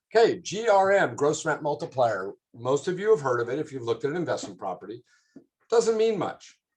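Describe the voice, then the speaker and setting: A man with a fairly high pitch and vocal fry speaks at a fairly quick pace, his pitch swinging very widely. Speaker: commercial real estate director. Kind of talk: presentation. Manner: fast.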